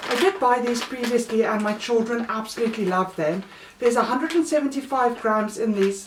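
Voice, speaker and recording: Speaking with a South African accent, a woman talks at a fairly quick pace and a fairly high pitch. Noticeable background noise can be heard. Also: lively intonation. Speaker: mother of three, haul vlogger. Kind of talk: casual talk to camera.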